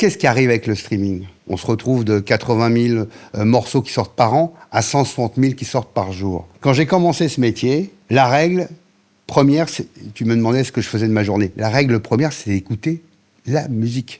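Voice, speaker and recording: Using a normal speaking voice, a man talks at a medium pitch and moderate pace with lively intonation. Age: 60s. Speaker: radio programming director. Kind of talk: interview. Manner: fillers and repetitions.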